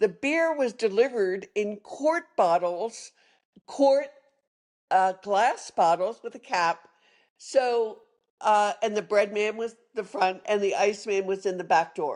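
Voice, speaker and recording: A woman with a Philadelphia accent speaks at a very slow pace, her medium pitch carried by lively intonation. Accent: Philadelphia-area American. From Philadelphia area, Pennsylvania (Norristown). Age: 70s. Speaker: retired sommelier. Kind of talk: interview storytelling.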